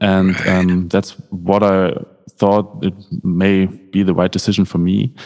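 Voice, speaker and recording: With a German accent, a man with a very deep, low voice speaks at a fairly slow pace, his loudness very even and his intonation fairly even. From Germany, North Rhine-Westphalia. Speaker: keyboardist. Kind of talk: interview.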